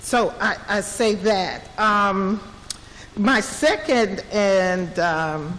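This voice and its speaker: Noticeable background noise sits behind a woman speaking at a very slow pace. Her pitch is medium with ordinary variation, and her loudness is very even. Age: 60s. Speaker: resident speaking at a public listening session. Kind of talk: public comment. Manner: halting.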